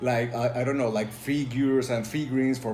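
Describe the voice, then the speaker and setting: A man with a Spanish accent speaks at medium pitch in a flat monotone. Music plays in the background and the room echo is audible. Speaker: tabletop role-playing game reviewer. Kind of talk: casual video review. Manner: halting, many fillers.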